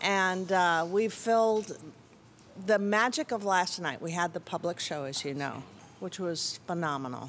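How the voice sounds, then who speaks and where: With an American accent, a woman speaks fairly slowly in a normal speaking voice, fairly low in pitch with lively intonation. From US Midwest. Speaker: juggling festival organizer. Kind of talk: interview. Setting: juggling convention, background noise.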